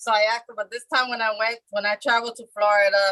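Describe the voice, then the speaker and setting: A woman with a medium-pitched voice and a bright, sharp tone, recorded dry and close with no echo. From Puerto Rico born, raised in mainland US. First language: Spanish (bilingual). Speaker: participant sharing experiences. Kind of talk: testimony. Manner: fast.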